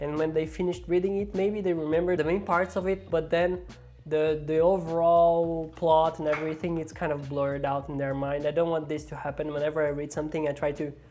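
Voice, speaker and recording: Someone speaking at a fairly quick pace with a non-native accent. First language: not English. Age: adult with a nine-to-five job. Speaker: book vlogger. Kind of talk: casual vlog.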